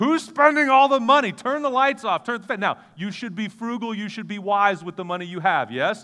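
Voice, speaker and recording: A man projects a raised, animated voice at a high pitch with lively intonation. He barely pauses, and his loudness swings widely. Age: 40s. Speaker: guest preacher. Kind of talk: sermon. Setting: church service with audience.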